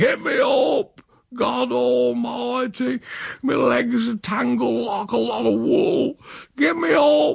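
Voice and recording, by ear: Putting on a character voice, a man speaks at an extremely high pitch and a slow pace, with vocal fry, a husky, rough edge and fairly even intonation.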